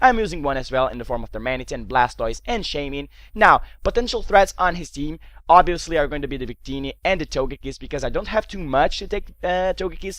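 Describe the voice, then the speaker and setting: Talking at a very fast pace with a Portuguese accent, a man makes big swings in loudness on a very clean recording with a silent background. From Portugal. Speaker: gaming commentator. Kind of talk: live game commentary; casual video intro.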